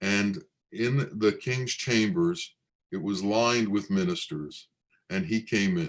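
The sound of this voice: Lively intonation marks this unforced reading voice, heard against a quiet background.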